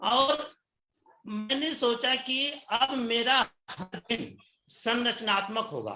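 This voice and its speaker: An extremely high male voice, raised and projected, bright and sharp in tone, with ordinary pitch variation. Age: 60s. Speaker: retiree turned direct-selling distributor. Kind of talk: interview testimony. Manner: animated.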